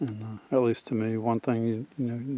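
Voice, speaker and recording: A soft-spoken man talks at a moderate pace. His tone is dark and mellow. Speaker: outdoors tracking hobbyist. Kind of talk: outdoor tutorial vlog. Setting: outdoors in woods. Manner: soft-spoken, quiet; halting with fillers.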